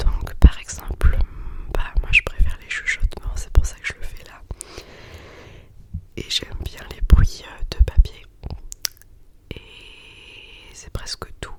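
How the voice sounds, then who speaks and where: Whispering at a very slow pace, a woman leaves long, frequent pauses and swings widely in loudness over noticeable background noise. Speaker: yoga teacher. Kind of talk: ASMR whispered podcast. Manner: whispered, soft.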